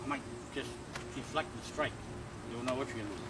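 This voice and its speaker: A man is speaking. Music plays in the background. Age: 60s. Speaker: martial arts instructor. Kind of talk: tutorial. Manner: casual.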